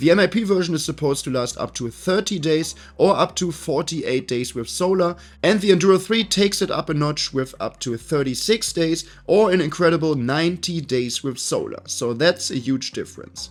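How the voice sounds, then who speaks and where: A man with a German accent speaks at a fairly quick pace. His voice is high, with lively intonation. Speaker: tech reviewer. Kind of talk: product review to camera.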